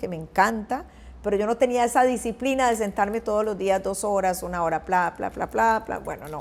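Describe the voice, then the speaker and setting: A woman talks at a fairly quick pace with ordinary pitch variation, in an ordinary speaking voice. The recording is very clean, with a silent background. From Costa Rica. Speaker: journalist and news anchor. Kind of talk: interview answer.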